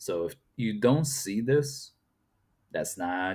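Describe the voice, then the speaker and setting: This man speaks with a Portuguese accent. His pitch varies in an ordinary way. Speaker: YouTube reaction commentator. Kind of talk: reaction commentary. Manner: casual, conversational with fillers.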